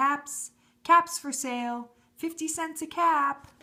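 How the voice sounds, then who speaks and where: A woman's put-on character voice, high-pitched and at a fairly slow pace. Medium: read story. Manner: calling out.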